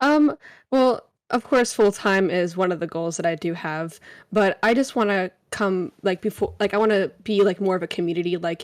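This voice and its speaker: At a moderate pace, a woman with a normal speaking voice and medium pitch speaks with lively intonation in a very clean recording with a silent background. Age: 20s. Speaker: variety streamer and college student. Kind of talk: interview. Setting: live stream with chat.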